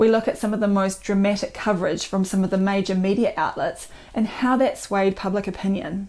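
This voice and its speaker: A woman with a New Zealand accent is speaking. Her pace is moderate. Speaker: doctor and author. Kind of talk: book promotion talk.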